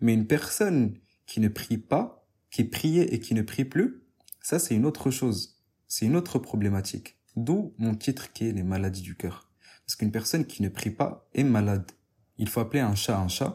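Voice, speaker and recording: The somewhat breathy voice of a man comes through in a very clean recording with a silent background. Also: medium pitch for a man, lively intonation, moderate pace. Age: 20s. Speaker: podcast host, religious talk. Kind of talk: religious talk.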